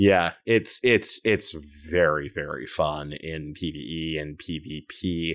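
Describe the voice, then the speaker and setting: Very slow, very deep, low male speech with ordinary pitch variation and big swings in loudness, on a very clean recording with a silent background. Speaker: video game podcaster. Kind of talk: casual chat. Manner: animated.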